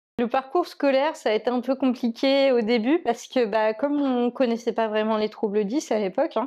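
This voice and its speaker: At a moderate pace, the voice has a dark, mellow tone and ordinary pitch variation against a quiet background. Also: woman. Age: 30s. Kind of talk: interview testimony. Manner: hesitant, many fillers.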